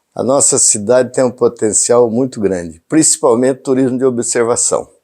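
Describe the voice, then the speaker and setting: On a very clean recording with a silent background, a man speaks at a moderate pace in an ordinary speaking voice with fairly even intonation. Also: medium pitch for a man. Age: 60s. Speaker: mayoral candidate. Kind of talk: interview.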